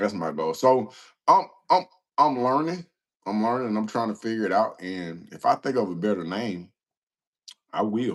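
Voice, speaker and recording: With an American accent, a man at a medium pitch speaks in an animated tone at a moderate pace, his pitch swinging very widely between long, frequent pauses. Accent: country Southern, varies by audience. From US South. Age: 40s. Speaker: livestreamer, former prisoner, anger management specialist. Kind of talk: casual live stream chat answering viewer questions.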